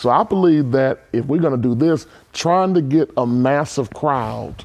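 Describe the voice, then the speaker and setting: Keeping his loudness very even, a man talks at a fairly slow pace with ordinary pitch variation. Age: 40s. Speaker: church leader. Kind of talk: panel discussion. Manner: animated.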